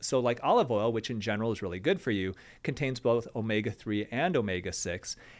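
A man with a plain, everyday voice and an American accent, medium in pitch and fairly quick in pace, on a very clean recording with a silent background. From Michigan, US Midwest. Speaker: plastic surgeon. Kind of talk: casual chat.

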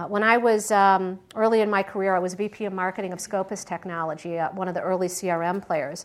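A normal speaking voice with an American accent, fairly even intonation and a fairly quick pace with hardly any pauses, on a very clean recording with a silent background. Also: woman, medium pitch for a woman. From Michigan, US Midwest. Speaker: venture capitalist and former tech CEO. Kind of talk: guest talk with audience Q&A. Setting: lecture hall with live audience.

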